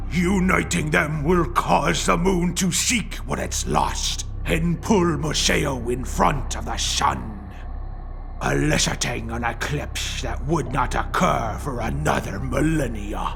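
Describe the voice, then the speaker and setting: A man uses a put-on character voice at a fairly slow pace. Clear background noise can be heard. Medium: audio drama. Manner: measured, ominous.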